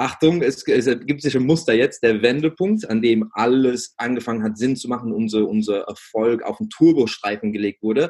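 Moderate pace and ordinary pitch variation from a man of medium pitch. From England. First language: English (speaking German). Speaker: business coach for gym owners. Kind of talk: interview. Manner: halting, many fillers.

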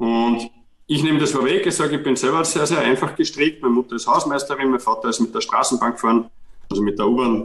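A man with a Viennese accent speaks at a very fast pace. His pitch is medium, with ordinary variation. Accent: Viennese Austrian German. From Austria, Vienna. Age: 40s. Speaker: physiotherapist and author. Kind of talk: interview. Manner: halting, with repetitions.

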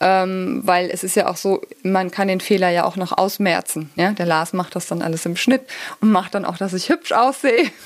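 A woman speaks in an ordinary speaking voice at medium pitch. Her pace is moderate and her pitch variation ordinary. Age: 40s. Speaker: physiotherapist and pain therapist, YouTuber. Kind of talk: casual interview chat.

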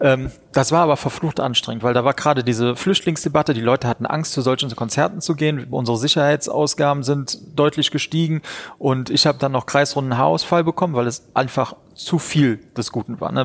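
A man speaks in a normal speaking voice with a fairly high pitch. He moves at a fairly quick pace with ordinary pitch variation. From Rhineland-Palatinate, Germany (Neuwied area). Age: 30s. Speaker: wedding venue owner and entrepreneur. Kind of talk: interview.

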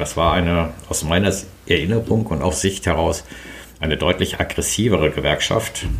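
Amid noticeable background noise and audible room echo, a man with a very deep, low pitch speaks at a moderate pace with ordinary pitch variation. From Sauerland, Germany. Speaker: trade association lawyer and managing director. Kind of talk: interview. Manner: hesitant with filler sounds.

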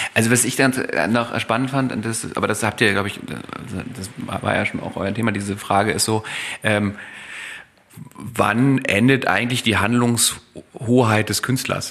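A man at a fairly slow pace with long, frequent pauses, medium pitch, and fairly even intonation. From East Germany. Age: 40s. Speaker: neurologist. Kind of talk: casual interview. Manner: halting, many filler sounds.

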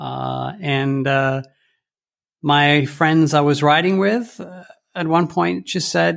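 With a Canadian accent, a man talks at a very slow pace in a fairly high pitch, his intonation lively. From Rome, Italy (Canadian family). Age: 50s. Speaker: bike tour company founder. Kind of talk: interview. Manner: hesitant, many fillers.

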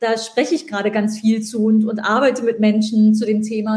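Her voice is somewhat breathy, with a dark, mellow tone and fairly high pitch. The woman talks at a moderate pace. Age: 40s. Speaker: podcast host, author and digital entrepreneur. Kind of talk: casual interview chat. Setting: LinkedIn live stream.

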